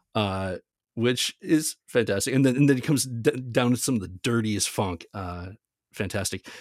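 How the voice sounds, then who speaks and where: On a very clean recording with a silent background, a man with an unremarkable speaking voice talks at a moderate pace, in a medium pitch with ordinary pitch variation. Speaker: amateur DJ panelist. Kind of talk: casual chat.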